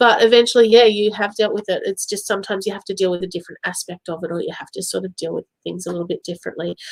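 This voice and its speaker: Very fast speech from a woman of medium pitch with a slight Australian accent and fairly even intonation. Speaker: psychic medium. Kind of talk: live-stream psychic reading. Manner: casual, chatty with fillers.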